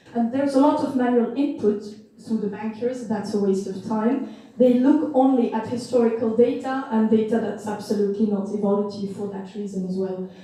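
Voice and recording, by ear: In a room with strong echo, a woman speaks at a moderate pace with a fairly high pitch. Her tone is dark and mellow, her intonation fairly even.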